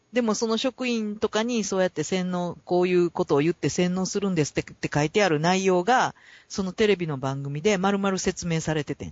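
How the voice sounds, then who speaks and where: The talk runs at a fairly quick pace with hardly any pauses. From Kansai, Japan. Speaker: podcast co-host. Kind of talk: casual chat.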